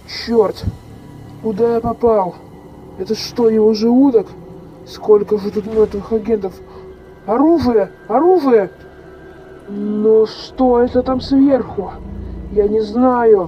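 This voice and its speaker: Woman at a fairly high pitch, fairly even intonation, fairly slow pace, clear background noise. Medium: machinima. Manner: panicked, desperate.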